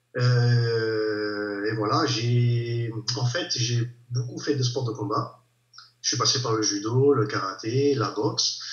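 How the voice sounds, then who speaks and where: Audible room echo carries a very slow delivery with fairly even intonation. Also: man, medium pitch for a man. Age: 30s. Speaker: amateur bodybuilder. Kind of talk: casual interview chat.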